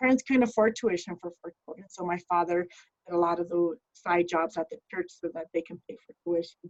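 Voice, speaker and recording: The recording is dry and close with no echo, as a woman speaks at a fairly low pitch with ordinary pitch variation and big swings in loudness. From Denver, Colorado (West Denver). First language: Spanish. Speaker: criminal justice professional. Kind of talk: talk to students. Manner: casual, many fillers.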